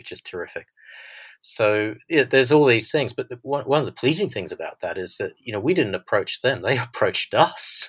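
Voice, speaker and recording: A man with an Australian accent talks at a moderate pace in a dry, close recording with no echo, very clean against a silent background. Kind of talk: interview conversation.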